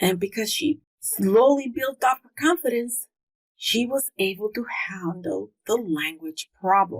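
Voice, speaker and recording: A woman with a slight non-native accent talks at a fairly slow pace, her pitch fairly high and her intonation lively. Her loudness swings widely, and the sound is dry and close with no echo. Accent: slight foreign. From came to US at age four from another country. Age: 50s. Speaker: homeschooling podcast host. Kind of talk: podcast monologue.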